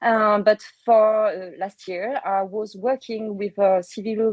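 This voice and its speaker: Speaking at a fairly slow pace, a woman with a French accent uses a medium pitch and fairly even intonation. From France. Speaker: public health communicator. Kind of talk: webinar presentation. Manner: hesitant, many fillers.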